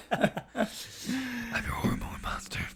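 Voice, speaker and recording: A raspy, put-on character voice at a fairly high pitch cuts through clear background noise. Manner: playful, exaggerated.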